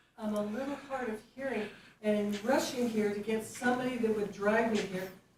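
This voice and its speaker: Amid noticeable background noise and audible room echo, a woman with a fairly high pitch speaks at a moderate pace with fairly even intonation. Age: 70s. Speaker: public commenter. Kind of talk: public comment at board meeting.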